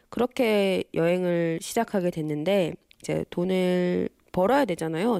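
The voice has a dark, mellow tone and ordinary pitch variation, recorded dry and close with no echo against a silent, very clean background. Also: woman. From Busan, South Korea. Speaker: illustrator. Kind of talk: interview.

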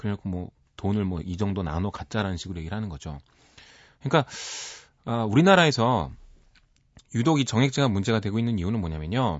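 Lively intonation runs through very fast speech broken by long, frequent pauses. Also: man, fairly low pitch for a man. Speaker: music critic. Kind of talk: radio music segment chat.

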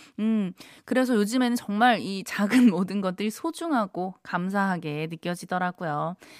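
A woman speaks at a medium pitch and a fairly slow pace. The very clean recording has a silent background and a dry, close sound with no echo. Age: 30s. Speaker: radio DJ. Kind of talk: live radio show hosting. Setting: radio studio. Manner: upbeat, animated.

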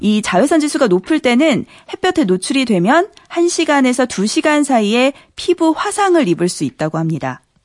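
Pitched high with very wide pitch swings, a woman speaks at a moderate pace in a dry, close sound with no echo, with music in the background. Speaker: radio news reporter. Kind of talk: news segment. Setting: studio.

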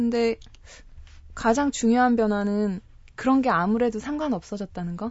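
Using a fairly high pitch with ordinary pitch variation, a woman speaks at a moderate pace with long, frequent pauses. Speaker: travel guest, pilgrim. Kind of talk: radio interview.

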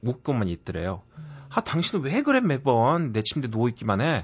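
The speaker talks at a fairly quick pace in a somewhat breathy voice with very wide pitch swings. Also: man. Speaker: professor. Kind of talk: book review chat. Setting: studio.

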